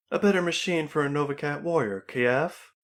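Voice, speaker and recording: A man performs a put-on character voice at a fairly high pitch. He keeps a moderate pace with ordinary pitch variation. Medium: read story. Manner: blunt, defiant.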